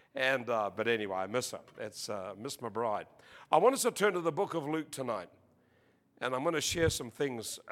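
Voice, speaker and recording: A man with an Australian accent and a bright, sharp tone. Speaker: preacher. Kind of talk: sermon. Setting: church with audience. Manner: animated.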